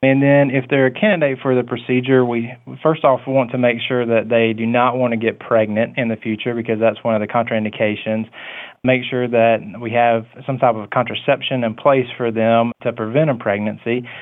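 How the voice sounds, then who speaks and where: A man with a Southern US accent, medium pitch, moderate pace and a monotone, flat delivery. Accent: Southern US (Georgia). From US South, Coffee County, Georgia. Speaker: physician (OB/GYN). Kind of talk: interview.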